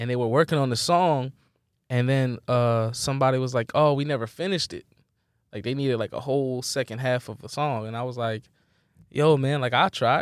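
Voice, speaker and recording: In an unremarkable speaking voice, a man talks at a fairly quick pace with medium pitch and fairly even intonation, the sound dry and close with no echo. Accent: American. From Philadelphia, US. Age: 30s. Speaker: musical artist. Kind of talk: casual interview chat.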